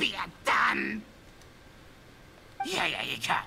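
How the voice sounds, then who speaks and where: A put-on character voice, raspy in texture, comes through over clear background noise. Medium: video game.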